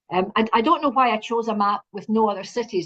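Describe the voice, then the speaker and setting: A woman with a Scottish accent at a fairly quick pace, with ordinary pitch variation. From Scotland. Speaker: university representative. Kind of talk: presentation.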